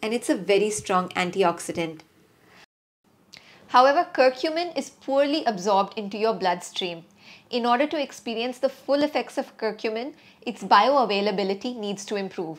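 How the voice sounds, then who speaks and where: A woman speaks in a plain, everyday voice, fairly high-pitched, at a moderate pace. Her intonation is lively, and the recording is very clean with a silent background. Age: 40s. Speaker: parenting and lifestyle vlogger. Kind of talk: personal health vlog.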